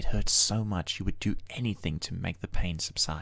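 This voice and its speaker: Very clean recording with a silent background of a man at a moderate pace, his intonation fairly even. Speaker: poet. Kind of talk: spoken-word poetry. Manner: reflective, measured, lyrical cadence.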